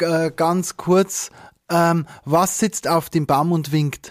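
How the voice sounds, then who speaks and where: A man with a high-pitched voice speaks in fairly even intonation, recorded dry and close with no echo. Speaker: wedding officiant. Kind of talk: casual chat.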